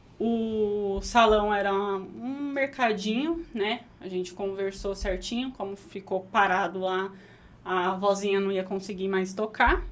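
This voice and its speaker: Speaking at a very slow pace, a woman lets her pitch vary in an ordinary way. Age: 20s. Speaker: burger restaurant owner; guest. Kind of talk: interview conversation. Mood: relaxed storytelling. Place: studio. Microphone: studio mic.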